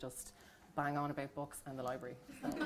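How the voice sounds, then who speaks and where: Over noticeable background noise, a woman with a Dublin accent talks at a very fast pace in a very deep, low pitch with monotone, flat intonation. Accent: Irish, Dublin. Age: 30s. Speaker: book reviewer, nurse and midwife. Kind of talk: panel talk at library event.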